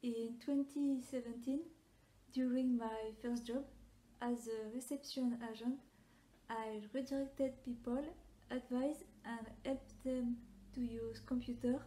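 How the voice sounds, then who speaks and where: A woman with a French accent speaks at a fairly slow pace in a high pitch, her dark, mellow tone held in a monotone, flat intonation. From France. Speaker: personality typology content creator. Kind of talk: reading a prepared answer to camera.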